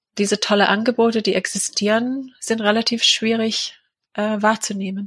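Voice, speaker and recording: A woman with a fairly high pitch talks in a monotone, flat intonation, recorded dry and close with no echo. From England. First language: English (speaking German). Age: 40s. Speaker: charity founder and mother of a sick child. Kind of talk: personal interview. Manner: hesitant, many filler sounds.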